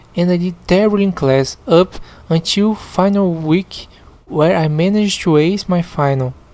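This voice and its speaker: A woman speaks with a Portuguese accent at a fairly low pitch. Her pace is moderate and her pitch variation ordinary. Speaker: podcast host reading online stories. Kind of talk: reading aloud with commentary. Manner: halting, repeats words.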